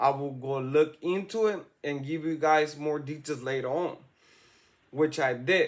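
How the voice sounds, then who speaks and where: Here a man talks with a strong Salvadoran accent. His voice is fairly high, and his pace fairly slow. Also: ordinary pitch variation. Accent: thick Salvadoran. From El Salvador. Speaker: YouTube true-crime commentator. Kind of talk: casual commentary. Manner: slow, deliberate.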